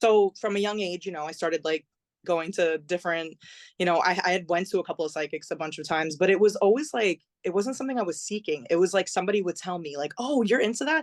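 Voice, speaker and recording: Speaking very fast with an American accent, a woman at medium pitch uses lively intonation in a dry, close sound with no echo and a quiet background. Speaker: singer and songwriter. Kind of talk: podcast interview.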